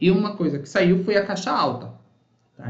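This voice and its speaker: Talking at a fairly quick clip, a man is heard with audible echo from the room. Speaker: university professor. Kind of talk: online workshop lecture. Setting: live online session with chat. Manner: fast.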